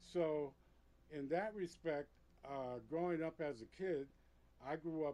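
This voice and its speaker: At a moderate pace, this voice carries a dark, mellow tone. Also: man. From New York City, Puerto Rican family. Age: 60s. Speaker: veteran club DJ. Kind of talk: interview storytelling. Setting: studio.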